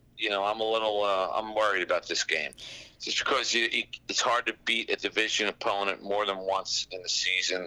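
In a Philadelphia accent, a man speaks at a fairly quick pace in a bright, sharp tone, his fairly low pitch held in a monotone, flat intonation. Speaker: comedian and impressionist. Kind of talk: casual chat.

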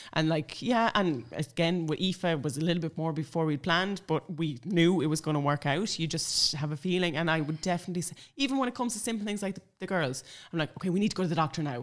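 Speaking very fast, a woman has a northwestern Irish accent and a fairly low pitch. Her intonation is lively. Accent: Irish (north-west). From Ireland, Sligo. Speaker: blogger and mother. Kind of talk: casual chat. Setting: at home.

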